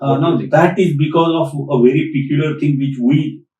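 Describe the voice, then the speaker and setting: With an Indian accent, this male voice sits at a fairly high pitch. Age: 60s. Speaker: PMP trainer, retired tech director. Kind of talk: podcast interview answer.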